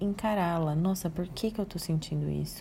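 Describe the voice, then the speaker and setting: Calm and somewhat breathy, a woman speaks in a fairly low pitch with a dark, mellow tone. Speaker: psychologist. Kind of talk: audio talk on emotional wellbeing.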